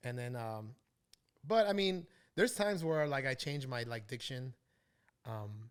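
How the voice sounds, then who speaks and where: At a moderate pace, a man talks at a medium pitch. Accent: American. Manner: casual, conversational.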